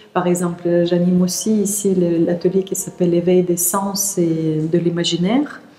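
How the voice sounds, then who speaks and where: Speaking at a fairly slow pace with hardly any pauses, a woman keeps a fairly low pitch, a monotone, flat intonation and very even loudness, with noticeable background noise behind her. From Siberia, Russia. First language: Russian (speaking French). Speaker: teacher of energy practice and workshop leader. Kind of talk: interview. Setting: outdoors in a park. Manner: hesitant, many fillers.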